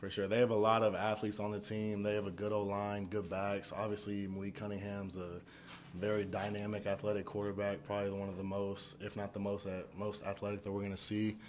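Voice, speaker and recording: The speaker talks at a fairly quick pace with monotone, flat intonation. Light background noise can be heard. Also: man, fairly low pitch for a man. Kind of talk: interview answer. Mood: calm, resolute after a loss. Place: hall. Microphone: podium.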